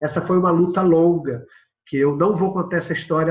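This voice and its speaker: Intonation stays fairly even while the pace is fairly quick. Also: man. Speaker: agroecology organization founder, lecturer. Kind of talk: recorded video lecture with slides. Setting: prerecorded remote presentation. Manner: fast.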